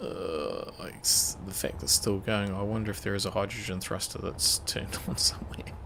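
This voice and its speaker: Whispering and mumbling at a moderate pace against noticeable background noise. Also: hardly any pauses. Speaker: gaming streamer. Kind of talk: casual live gameplay commentary.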